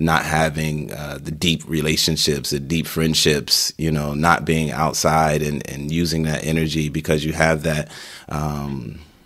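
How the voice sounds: Extremely low male voice with a fairly bright tone, a fairly slow pace and little pitch movement.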